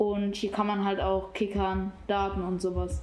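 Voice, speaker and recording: A woman of medium pitch speaks amid noticeable background noise and audible room echo. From Oberhausen-Osterfeld, Germany. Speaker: youth centre visitor. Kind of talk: casual interview.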